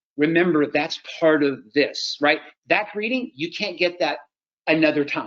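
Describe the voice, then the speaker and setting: Talking at a fairly quick pace, the man has a high-pitched voice. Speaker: chiropractor and practice-building trainer. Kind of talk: webinar training. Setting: online webinar. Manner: fast; animated.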